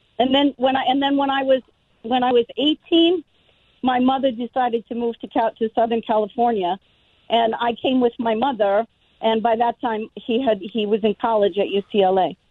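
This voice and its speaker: Speaking with an American accent, a woman has a plain, everyday voice at a moderate pace. Her pitch is fairly high with ordinary variation, and her loudness stays very even. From Denver, Colorado. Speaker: caller. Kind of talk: casual chat.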